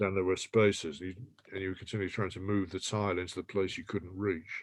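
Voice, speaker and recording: With an English accent, a man speaks at a very fast pace, his very deep, low voice monotone and flat while the loudness swings widely. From England, Irish family. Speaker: poet. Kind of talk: panel discussion.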